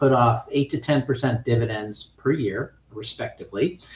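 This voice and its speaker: His voice somewhat breathy, a man talks at a moderate pace. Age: 60s. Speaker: options trading instructor. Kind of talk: lecture. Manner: casual, conversational with fillers.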